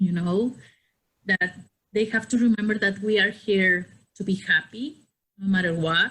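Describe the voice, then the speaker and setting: Speaking at a moderate pace with long, frequent pauses, a woman has a bright, sharp tone, a medium pitch and ordinary pitch variation. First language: not English. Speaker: podcast guest. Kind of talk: casual chat.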